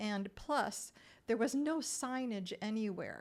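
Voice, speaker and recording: A woman with a Great Lakes accent talks at a fairly slow pace, her pitch fairly high. The recording is very clean, with a silent background. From Minnesota, US. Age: 60s. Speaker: retired real estate agent and traveler. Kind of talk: interview storytelling.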